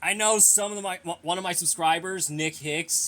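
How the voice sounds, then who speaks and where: This man's voice sits high in pitch, moving at a fairly quick pace with fairly even intonation. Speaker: youtuber answering viewer questions. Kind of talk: casual Q&A monologue. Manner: mumbled, stumbling speech; halting, with repeated words.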